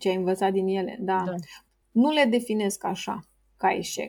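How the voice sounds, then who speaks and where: The woman's voice is somewhat breathy with a dark, mellow tone, moving at a fairly slow pace. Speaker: entrepreneur. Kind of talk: interview.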